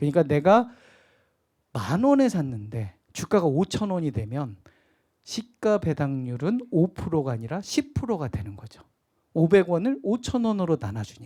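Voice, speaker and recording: A man's fairly high, dark, mellow voice with a slight Jeolla accent and very wide pitch swings at a fairly slow pace, on a very clean recording with a silent background. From Jeolla Province, Korea. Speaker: stock investment lecturer. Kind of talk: lecture.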